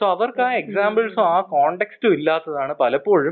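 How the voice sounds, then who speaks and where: This man's voice sits high in pitch. He is a man speaking high. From Kerala, India. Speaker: student and youth activist. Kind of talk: interview.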